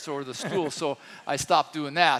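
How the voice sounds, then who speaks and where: With a bright, sharp tone, a man speaks in a fairly even intonation. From France. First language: French. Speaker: pastor. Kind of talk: sermon.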